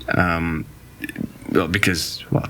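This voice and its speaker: A man with a Russian accent speaks at a moderate pace in a very deep, low voice, with noticeable background noise and audible room echo. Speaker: podcast guest. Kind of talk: casual chat. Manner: halting.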